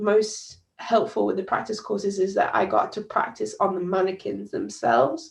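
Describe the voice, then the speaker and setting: A woman's voice in a British accent, with vocal fry. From UK. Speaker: doctor. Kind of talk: presentation. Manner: halting, frequent fillers.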